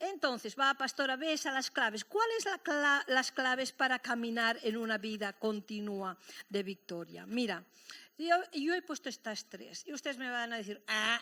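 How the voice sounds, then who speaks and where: A woman speaks at a fairly slow pace in a high pitch, her lively intonation and bright, sharp tone captured on a very clean recording with a silent background. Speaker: pastor. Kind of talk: sermon. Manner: animated.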